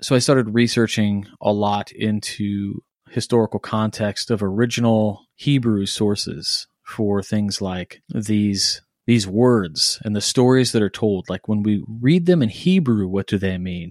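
At a fairly low pitch, a man talks at a fairly slow pace with ordinary pitch variation and hardly any pauses, in a dry, close sound with no echo. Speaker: podcast host and blog editor. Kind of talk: casual chat. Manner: hesitant with many fillers.

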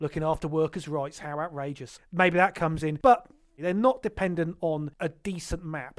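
Speaking at a moderate pace, a man uses a normal speaking voice with a fairly high pitch and ordinary pitch variation. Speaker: board game podcast host. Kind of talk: casual banter podcast chat. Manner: wry, sarcastic, joking.

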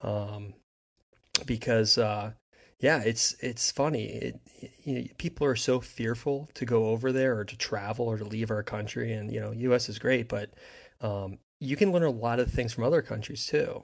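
Over a quiet background, a man with an American accent speaks at medium pitch and a moderate pace, with ordinary pitch variation and an unremarkable speaking voice. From US Northeast, New Jersey. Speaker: hockey fan, former goalie. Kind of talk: casual chat.

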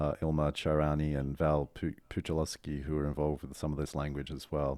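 A man speaks in a very deep, low pitch with an Australian accent. His tone is dark and mellow, on a very clean recording with a silent background. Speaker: strategist and author. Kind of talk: casual interview.

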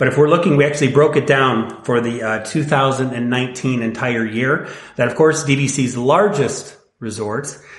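Recorded with audible room echo, a man with an American accent talks at a fairly slow pace and medium pitch. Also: ordinary pitch variation. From Northwest Indiana. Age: 40s. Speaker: timeshare resale company representative. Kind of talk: casual interview chat.

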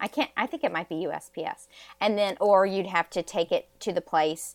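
A woman with a plain, everyday voice speaks at a medium pitch and a moderate pace, the sound dry and close with no echo. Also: very clean recording, silent background. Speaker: fashion consultant. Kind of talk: interview.

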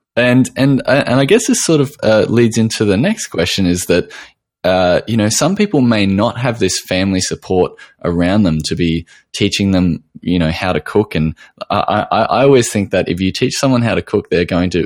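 A man with an Australian accent, fairly low in pitch, talking at a fairly quick clip with lively intonation over a very clean recording and silent background. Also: dry, close sound with no echo. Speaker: podcast host, nutritional therapist. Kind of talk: interview; scripted intro narration.

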